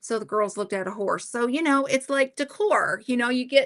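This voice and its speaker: An ordinary speaking voice from a woman, with lively intonation and a moderate pace, over a quiet background. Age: 60s. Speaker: livestream host, chicken keeper. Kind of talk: casual live chat reading viewer comments. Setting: livestream. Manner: chatty, informal.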